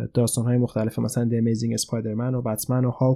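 This very clean recording, with a silent background, carries a man's medium-pitched voice in a dark, mellow tone. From Iran. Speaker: podcast host, film reviewer. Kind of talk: casual film review monologue.

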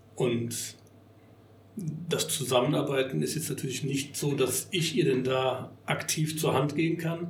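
A somewhat breathy man talks at a fairly slow pace with fairly high pitch and fairly even intonation. Audible room echo surrounds his voice. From Bonn, Rhineland, Germany. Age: 50s. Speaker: party venue owner. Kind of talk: casual interview. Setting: party hall venue.

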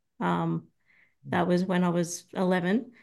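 A woman speaks at a medium pitch with an Australian accent. Her pace is fairly slow, and the background is quiet. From Australia, Sydney. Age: 30s. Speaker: ex-Scientologist. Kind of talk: interview testimony.

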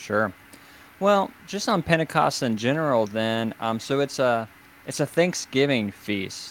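With an ordinary speaking voice at medium pitch, a man talks fairly slowly and with lively intonation. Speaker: podcast host and writer. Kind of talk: casual discussion on theology. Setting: online livestream with internet connection problems.

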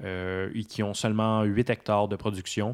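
A man's fairly low, monotone voice with flat intonation, on a very clean recording with a silent background. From Quebec, south shore of Montreal. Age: 20s. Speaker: apprentice winemaker. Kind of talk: casual interview.

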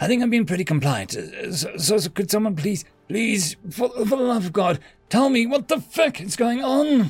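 A man puts on a character voice, high-pitched with big pitch swings and a slightly husky edge. He keeps a moderate pace with few pauses.

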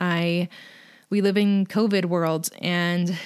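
With monotone, flat intonation, a woman speaks at a fairly low pitch on a very clean recording with a silent background. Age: 30s. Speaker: podcast host. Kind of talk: motivational podcast monologue. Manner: halting, frequent um and uh.

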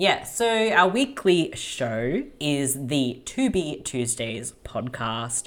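A woman with an Australian accent, very deep and low in pitch, at a very slow pace with very wide pitch swings. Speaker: podcaster. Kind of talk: casual chat.

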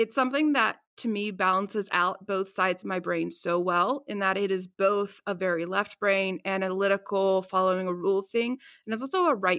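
With an American accent, a woman talks in a normal speaking voice at medium pitch, with ordinary pitch variation and a moderate pace, on a very clean recording with a silent background. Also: hardly any pauses. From West Virginia. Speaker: trade analyst with a theater degree. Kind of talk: casual interview chat.

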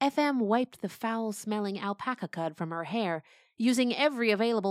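In a natural voice, a passage is read aloud.

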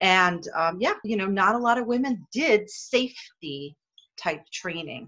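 A woman speaks at a fairly slow pace with a bright, sharp tone, her medium pitch making very wide swings. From Hawaii. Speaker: dental safety consultant and speaker. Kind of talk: interview. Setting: video call.

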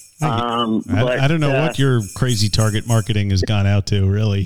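With music in the background, a man speaks in a playful tone at a medium pitch, keeping very even loudness and ordinary pitch variation. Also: moderate pace. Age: middle-aged. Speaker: podcast co-host. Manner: joking, playful.

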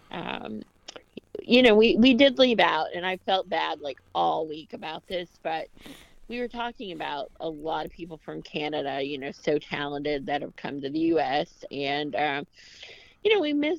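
In an American accent, a woman speaks at a moderate pace with a fairly low pitch and very wide pitch swings. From Tennessee, US South. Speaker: podcast co-host. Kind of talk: casual chat and interview.

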